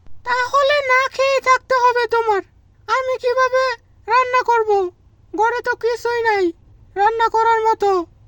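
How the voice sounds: A female-sounding cartoonish character voice, pitched extremely high for a woman. It moves at a fairly slow pace.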